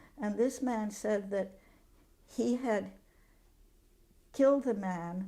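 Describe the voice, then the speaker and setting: Very slowly, a woman speaks at a medium pitch with a dark, mellow tone. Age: 90s. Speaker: retired activist and prisoner advocate. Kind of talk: oral history interview.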